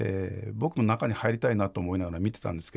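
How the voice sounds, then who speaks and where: Against a quiet background, a man with a fairly low pitch speaks at a very fast pace. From Fukuoka, Japan; Japan. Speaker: investigative journalist. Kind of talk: interview. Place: studio. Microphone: studio mic.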